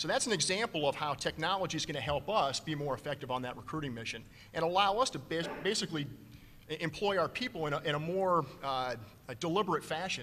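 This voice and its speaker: A man talks very fast in a bright, sharp tone, with fairly high pitch and lively intonation. Light background noise can be heard. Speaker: navy admiral, recruiting commander; panelist. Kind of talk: conference panel talk. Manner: animated, gestures a lot. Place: hall. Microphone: podium.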